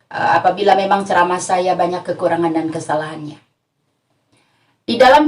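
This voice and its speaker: A woman speaks with a West Javanese accent. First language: Sundanese (speaking Indonesian). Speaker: female Islamic preacher. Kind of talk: religious lecture.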